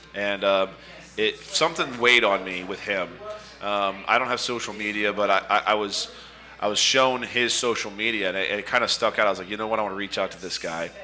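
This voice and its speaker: Against noticeable background noise, a man talks at a fairly quick pace in a fairly low pitch with fairly even intonation. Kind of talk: casual banter.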